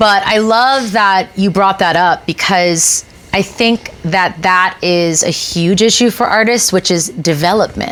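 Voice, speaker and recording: Against noticeable background noise, a woman at a medium pitch speaks at a fairly slow pace with hardly any pauses and very even loudness. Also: ordinary pitch variation. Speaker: talk show host and musician. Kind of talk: casual chat.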